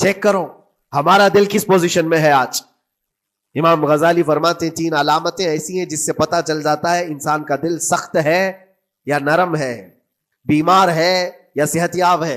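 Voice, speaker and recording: A man talks in a high pitch with fairly even intonation. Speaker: Islamic scholar preaching. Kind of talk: Islamic sermon (bayan).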